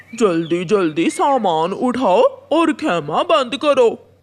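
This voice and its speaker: A cartoonish character voice sits at a fairly high pitch with very wide pitch swings. The pace is very slow. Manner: brusque, commanding.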